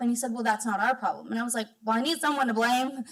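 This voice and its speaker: This woman's fairly high voice keeps a fairly even intonation. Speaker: solar advocacy program director. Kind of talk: public comment. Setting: public meeting. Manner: fast.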